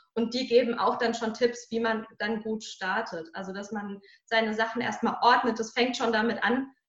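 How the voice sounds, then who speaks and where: This woman talks at a moderate pace with a fairly high pitch and monotone, flat intonation. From Germany, Hesse (Marburg area). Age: 30s. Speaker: mental coach and speaker. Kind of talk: interview conversation.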